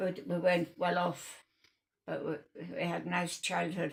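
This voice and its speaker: A woman's fairly low-pitched voice with vocal fry, at a fairly slow pace. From North East England. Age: 90s; old. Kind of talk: interview answer. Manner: hesitant, slow.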